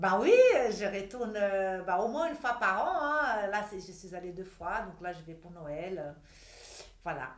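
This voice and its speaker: A woman with a Brazilian accent speaks at a fairly slow pace and a medium pitch. Her loudness swings widely against noticeable background noise. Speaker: model and image consultant. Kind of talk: interview answer. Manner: energetic.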